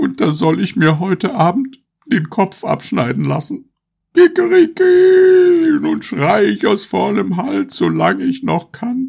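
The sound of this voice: In a loud, high put-on character voice with vocal fry, a slightly husky edge and very wide pitch swings, a man speaks at a slow pace.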